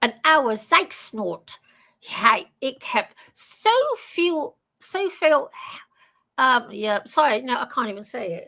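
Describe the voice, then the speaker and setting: At a very slow pace, a woman with a London accent projects a raised, high-pitched voice, bright and sharp in tone, with very wide pitch swings and big swings in loudness. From Netherlands. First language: Dutch. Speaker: live show panelist. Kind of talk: casual chat.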